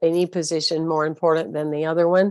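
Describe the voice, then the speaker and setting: With a Southern US accent, a woman speaks in a dry, close sound with no echo over a quiet background. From US South. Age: 60s. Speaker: spiritual leader and motivational speaker. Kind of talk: interview talk. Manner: hesitant fillers.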